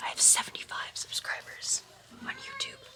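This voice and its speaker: Noticeable background noise accompanies a woman speaking. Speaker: youtuber. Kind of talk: casual vlog. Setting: on vacation with family.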